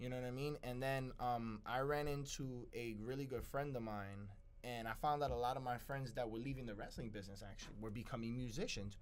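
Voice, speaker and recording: A man of medium pitch talks at a fairly quick pace with hardly any pauses and fairly even intonation. Audible room echo surrounds his voice. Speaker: musician and former wrestler. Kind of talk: interview. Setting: studio. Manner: loud.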